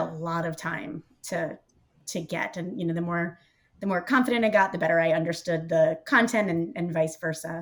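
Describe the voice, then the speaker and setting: Her bright, sharp tone sits at a fairly low pitch for a woman, with ordinary pitch variation. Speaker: market research professional. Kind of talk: casual chat. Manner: fast.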